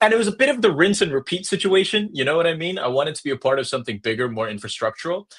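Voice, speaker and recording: A man with an American accent speaks at a very fast pace with hardly any pauses, in an animated tone. His high voice makes very wide pitch swings. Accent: sounds American. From Hong Kong. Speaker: crypto project growth lead. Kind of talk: podcast interview. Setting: remote call.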